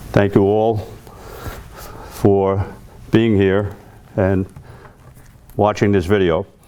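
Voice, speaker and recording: A man with a New York accent, fairly low-pitched, very slow and monotone, at a very even loudness, with long, frequent pauses and noticeable background noise. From New York City, Queens. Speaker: Vietnam-era army veteran, keynote speaker. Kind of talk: memorial speech, personal testimony.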